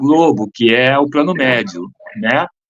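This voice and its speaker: This man speaks with lively intonation. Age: 60s. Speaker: acting mentor and teacher. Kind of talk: interview.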